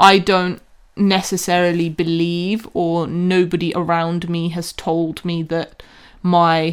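On a very clean recording with a silent background, a woman talks at a very slow pace in a fairly low pitch. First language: not English. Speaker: podcast co-host. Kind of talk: casual chat; scripted intro.

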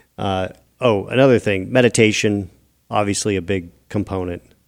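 A man with a fairly low pitch and ordinary pitch variation talks at a fairly slow pace. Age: 50s. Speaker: podcast host. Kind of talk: casual monologue. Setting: studio.

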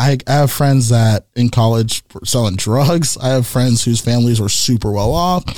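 With an American accent, a man talks at a moderate pace with hardly any pauses. He has an unremarkable speaking voice at a medium pitch, with ordinary pitch variation. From US West Coast, San Jose, California. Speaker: entrepreneur. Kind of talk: casual chat.

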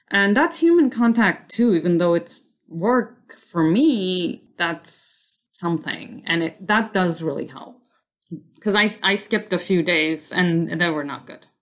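At a fairly slow pace, a woman with an ordinary speaking voice talks at a medium pitch and ordinary pitch variation, her loudness swinging widely. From New York City (Queens), immigrant as a child. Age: 30s. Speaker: designer. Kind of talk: casual chat.

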